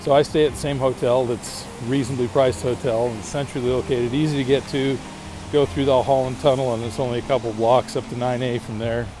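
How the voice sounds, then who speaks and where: Talking at a very fast pace, a man with a medium pitch keeps his intonation fairly even over noticeable background noise. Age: 50s. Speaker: podcast host. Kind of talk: casual monologue. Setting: outdoors walking in a city. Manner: hesitant, with frequent fillers.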